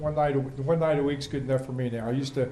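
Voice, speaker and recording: A man with an American accent speaks at a medium pitch in a dark, mellow tone. He talks at a very fast pace in a monotone, flat intonation, with audible room echo. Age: 60s. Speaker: race announcer. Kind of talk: casual chat. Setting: TV studio.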